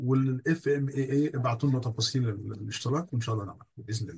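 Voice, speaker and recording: Somewhat breathy medium pitch from a man, at a fairly quick pace. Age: 60s. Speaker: course trainee. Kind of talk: video call testimonial. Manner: halting.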